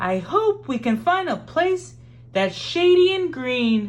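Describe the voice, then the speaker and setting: A put-on character voice with a warm tone moves at a fairly slow pace over light background noise. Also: woman, high pitch for a woman. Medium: read story. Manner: warm, encouraging.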